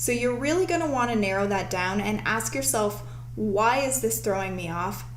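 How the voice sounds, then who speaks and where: A woman is speaking with audible room echo. There is noticeable background noise as well. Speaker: show host. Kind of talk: live-streamed tutorial.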